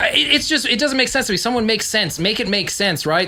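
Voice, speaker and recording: The voice has an animated tone over noticeable background noise. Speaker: podcast co-host. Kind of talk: casual chat. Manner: loud.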